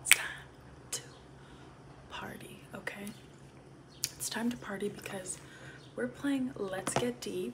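A woman whispers very slowly, with long, frequent pauses. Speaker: ASMR content creator. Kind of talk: ASMR get-ready-with-me, casual talk to camera. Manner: soft-spoken. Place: home room. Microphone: phone near.

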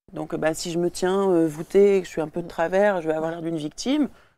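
At a fairly quick pace, a woman speaks in a dry sound with no echo. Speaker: burlesque performer and singer; talk show guest. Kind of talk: casual chat. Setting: studio. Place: studio.

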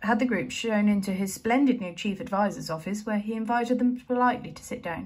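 This clip is plain reading aloud. It is a voice reading text.

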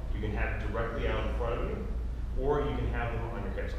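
Very fast speech comes through strong room echo and noticeable background noise. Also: man. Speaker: fitness instructor. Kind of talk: tutorial. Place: gym. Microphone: camera far.

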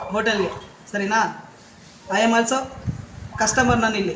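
A loud man with an extremely high pitch, over noticeable background noise. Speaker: local news reporter. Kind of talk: on-the-spot complaint phone call.

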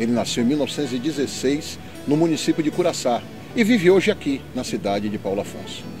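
Clear music plays in the background of a dry recording with no echo. A man speaks very fast in a fairly high voice. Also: lively intonation. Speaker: police officer and historian. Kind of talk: documentary narration. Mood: calm, respectful. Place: open country.

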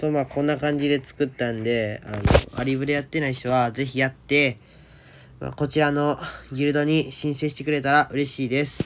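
Over noticeable background noise, a man with a fairly high pitch speaks in a monotone, flat intonation at a fairly quick pace. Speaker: game video creator. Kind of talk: casual talk about a mobile game. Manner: natural speaking voice, not put on.

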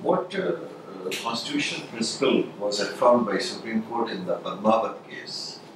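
A man with lively intonation at a moderate pace, audible room echo and noticeable background noise. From India. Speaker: interview panel member. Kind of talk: mock job interview. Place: meeting room.

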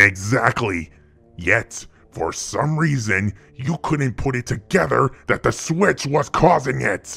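A man's raspy, put-on character voice with a menacing tone, medium pitch and a fairly slow pace over faint music in the background. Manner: contemptuous, menacing.

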